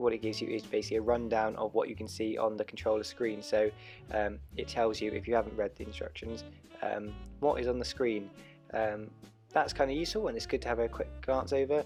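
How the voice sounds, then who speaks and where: Music plays in the background as a man talks at a very fast pace. His fairly low voice has lively intonation. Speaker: drone hobbyist. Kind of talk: tutorial voiceover. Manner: hesitant, casual.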